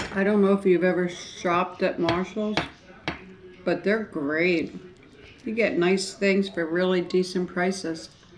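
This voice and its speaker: A woman talks at a fairly slow pace with fairly even intonation. Light background noise is audible. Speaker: eating show vlogger. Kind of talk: casual vlog chat. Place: home room. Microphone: camera far.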